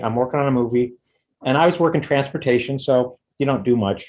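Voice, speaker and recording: Against a quiet background, a man with an American accent talks at a fairly quick pace and a medium pitch, in an ordinary speaking voice. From US West Coast, Los Angeles. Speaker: punk drummer. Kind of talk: casual chat.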